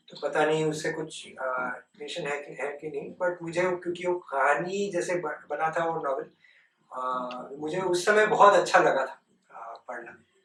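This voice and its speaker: High male voice, pitch varying in a normal way. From West Bengal, India. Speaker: nonprofit director, former tech executive. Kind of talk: interview, talk to students. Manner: hesitant, many filler sounds.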